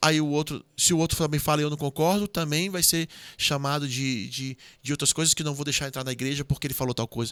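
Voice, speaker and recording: The recording is dry and close with no echo as a man with a fairly high pitch talks at a very fast pace with fairly even intonation. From Ceará, Brazil. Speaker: government official and former military officer. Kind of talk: podcast interview.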